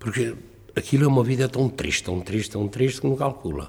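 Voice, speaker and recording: A man's dark, mellow voice sits at a medium pitch, showing lively intonation and vocal fry. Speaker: retired cod fisherman. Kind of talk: oral history testimony. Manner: halting.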